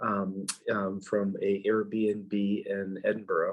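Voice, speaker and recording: Here a man speaks with an American accent. His voice is fairly low in pitch. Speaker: minister. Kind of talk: sermon. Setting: recorded at a rental flat. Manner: hesitant, many fillers.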